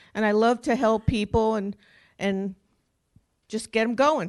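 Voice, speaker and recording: In a strong New Jersey accent, a woman with a fairly high voice speaks at a fairly slow pace with long, frequent pauses against a quiet background. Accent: New Jersey accent, still strong. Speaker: senior volunteer being honored. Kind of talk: short acceptance remarks. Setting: council chamber with audience.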